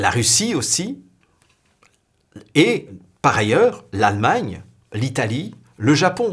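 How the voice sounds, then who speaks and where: Speaking very slowly with long, frequent pauses, a man with a fairly high, somewhat breathy voice swings his pitch very widely. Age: younger than 60. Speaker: spiritual video blogger. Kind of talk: spiritual talk to camera.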